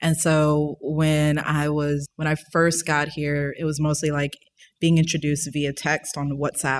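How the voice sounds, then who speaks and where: Slow-paced and flat, a woman with an American accent speaks at a fairly slow pace in a very deep, low pitch with monotone, flat intonation. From US South, New Orleans, Louisiana. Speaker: visual artist, graduate student. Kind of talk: casual chat. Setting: in person in London.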